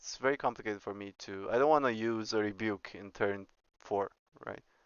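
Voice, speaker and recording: A man with a Romanian accent at a moderate pace. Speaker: streamer and astrophysics teacher. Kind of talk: casual chat while gaming on stream. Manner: halting.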